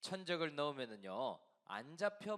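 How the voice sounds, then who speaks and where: Pitched fairly high, a man's voice makes very wide pitch swings at a very slow pace. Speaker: pastor. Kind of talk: sermon. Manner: halting with fillers.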